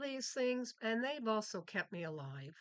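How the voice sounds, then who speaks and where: A woman speaks at a fairly slow pace in a fairly high voice. Her pitch swings very widely. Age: 70s. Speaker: retired vlogger. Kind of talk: casual monologue vlog. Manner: halting, with fillers and restarts.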